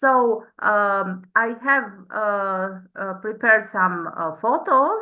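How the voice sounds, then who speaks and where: Very slowly, a woman with an Albanian accent speaks in a bright, sharp, fairly high voice with ordinary pitch variation, and audible room echo fills the space. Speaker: PhD researcher. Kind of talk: conference presentation. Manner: halting, many fillers.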